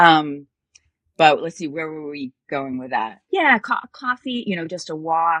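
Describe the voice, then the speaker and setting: In a dry, close sound with no echo, a woman with a plain, everyday voice speaks at a fairly slow pace in a fairly low pitch, her loudness swinging widely. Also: lively intonation. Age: 60s. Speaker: dating coach. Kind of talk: casual chat.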